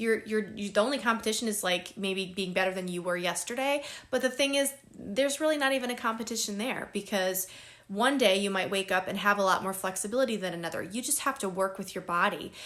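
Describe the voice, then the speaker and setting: Pitch shows ordinary variation. The delivery is very fast. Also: woman, medium pitch for a woman. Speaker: wellness vlogger. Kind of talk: self-help talk. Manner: casual with fillers.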